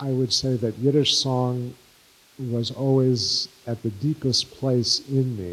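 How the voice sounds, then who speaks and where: Amid noticeable background noise, a man with an American accent speaks very slowly with fairly even intonation. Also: medium pitch for a man. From New York City (Bronx/Brooklyn). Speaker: Yiddish singer and songwriter, filmmaker. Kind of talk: interview before live audience.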